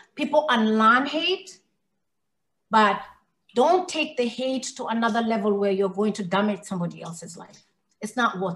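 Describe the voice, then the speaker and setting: Somewhat breathy, this voice with an American accent moves at a moderate pace with lively intonation. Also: woman. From Kenya and Somalia (Somali), later Minnesota. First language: English (Swahili second, Somali third). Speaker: hate crime survivor and speaker. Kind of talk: interview, personal testimony.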